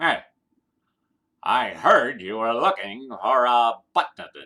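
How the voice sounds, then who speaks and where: A man's put-on character voice at a medium pitch, with lively intonation and a very slow pace. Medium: read story.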